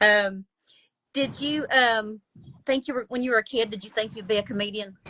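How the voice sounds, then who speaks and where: Speaking at a moderate pace in a Southern US accent, a woman with a fairly high pitch and a bright, sharp tone keeps her intonation fairly even while her loudness swings widely, all in a dry, close sound with no echo. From Alabama. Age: 60s. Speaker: podcast host. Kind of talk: casual interview.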